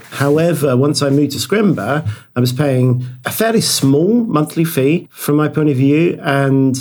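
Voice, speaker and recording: A man's medium-pitched voice with a British accent at a moderate pace. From Britain. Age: 40s. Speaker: software developer. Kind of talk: casual interview.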